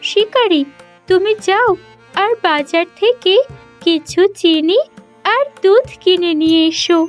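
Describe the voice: A woman speaks in a cartoonish character voice at an extremely high pitch and a very slow pace. Faint music plays in the background.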